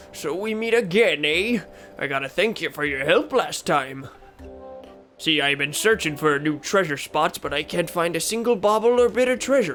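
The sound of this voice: A put-on character voice at a middle pitch is heard over clear music in the background. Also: moderate pace.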